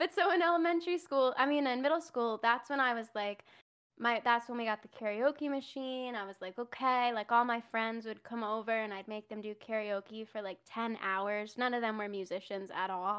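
Using an ordinary speaking voice, a woman talks at a moderate pace with hardly any pauses, fairly high in pitch, with ordinary pitch variation. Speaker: musician and streamer. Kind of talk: casual interview chat.

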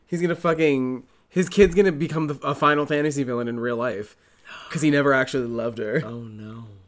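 Speech races by at a very fast clip, its loudness rising and falling sharply. Pitch moves in an ordinary way, with noticeable noise behind it. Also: man, fairly high pitch for a man. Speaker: podcast co-host. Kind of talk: casual chat.

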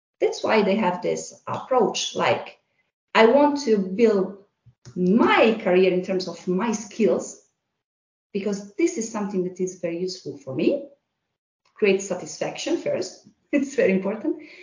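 A woman speaks at a fairly slow pace in a somewhat breathy voice with lively intonation and long, frequent pauses, with audible room echo. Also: medium pitch for a woman. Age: 40s. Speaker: HR manager. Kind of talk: casual interview.

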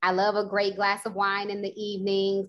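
A woman at medium pitch with an American accent, a plain, everyday voice and a moderate pace. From Houston, Texas. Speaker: motivational speaker and speaker coach. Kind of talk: casual panel discussion.

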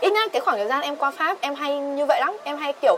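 Over noticeable background noise, a woman with a high pitch talks fairly quickly with lively intonation. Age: 20s. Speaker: podcast guest. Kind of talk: casual chat.

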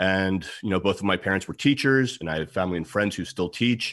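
In a normal speaking voice, a man with an American accent talks at a fairly low pitch on a very clean recording with a silent background. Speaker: security expert and author. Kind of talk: interview.

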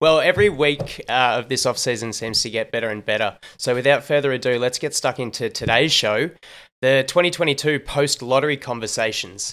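On a very clean recording with a silent background, a man with a medium pitch speaks at a fairly quick pace with ordinary pitch variation. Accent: Australian. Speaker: sports podcast host. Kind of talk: casual sports analysis chat. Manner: animated.

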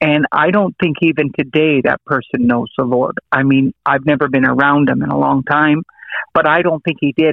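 In an ordinary speaking voice with an American accent, a man speaks at a moderate pace, fairly high in pitch with ordinary pitch variation. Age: 50s. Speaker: preacher. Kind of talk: testimony.

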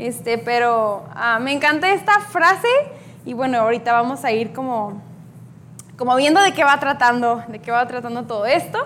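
With long, frequent pauses and very wide pitch swings, a woman speaks at a high pitch amid audible room echo. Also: moderate pace. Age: 20s. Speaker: youth speaker. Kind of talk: sermon. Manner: hesitant with fillers.

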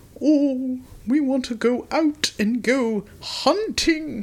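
In a put-on character voice, this female-sounding voice speaks at a very slow pace and high pitch. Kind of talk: old-fashioned.

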